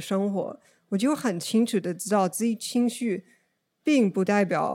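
A woman speaks at a fairly slow pace with an English accent, her voice medium in pitch with ordinary pitch variation and a dark, mellow tone. The recording is very clean, with a silent background. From US, Oregon. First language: English (speaking Chinese). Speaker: podcast guest sharing mental health experience. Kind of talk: casual conversational interview. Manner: halting, with frequent fillers.

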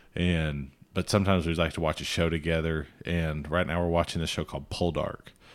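With a Southern US accent, a man speaks at a fairly quick pace in a very deep, low pitch and a monotone, flat intonation. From Alabama. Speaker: podcast co-host, former cattle rancher. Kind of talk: casual chat.

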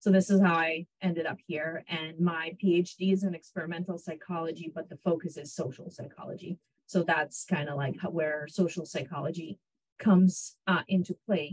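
A woman with a fairly low, somewhat breathy voice speaks at a moderate pace with fairly even intonation. Her loudness swings widely, and the sound is dry and close with no echo. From Israel (born in Ukraine). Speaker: psychology professor. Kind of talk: interview. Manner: hesitant, many fillers.

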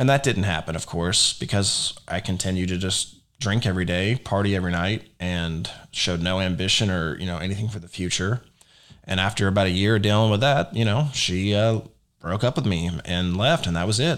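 At a fairly quick pace, a man with an American accent speaks in a very deep, low voice with ordinary pitch variation. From Texas, Dallas area. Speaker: podcast host. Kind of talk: personal testimony. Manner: casual, with frequent fillers.

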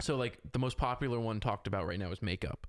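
A man with an unremarkable speaking voice talks at a fairly quick pace. The recording is very clean, with a silent background. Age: 20s. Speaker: podcast guest, aspiring filmmaker and social media enthusiast. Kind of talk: casual chat.

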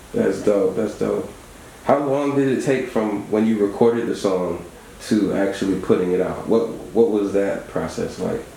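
A man speaks in a relaxed tone at a fairly low pitch. Background noise is noticeable. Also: ordinary pitch variation, moderate pace. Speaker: radio host. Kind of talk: casual radio interview. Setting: studio. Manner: relaxed, conversational.

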